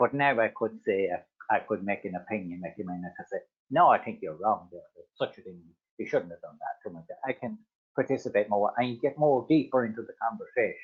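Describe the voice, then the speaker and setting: Very fast speech comes from a man. His loudness swings widely. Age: 60s. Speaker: adult literacy learner. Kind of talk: personal testimony. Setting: webinar video call. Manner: halting, repetitive fillers.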